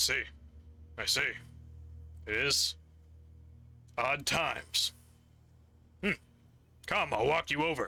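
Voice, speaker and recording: Using a put-on character voice, a raspy man speaks at a fairly slow pace with long, frequent pauses. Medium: actual play. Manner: relaxed, thoughtful.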